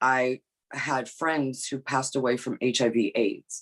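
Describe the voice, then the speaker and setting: A woman with a New York accent, very deep and low in pitch, talking at a very slow pace. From New York (Bronx), Brazilian immigrant family. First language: not English (English her third language). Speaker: behavioral scientist. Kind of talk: podcast interview. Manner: halting, many fillers and repeats.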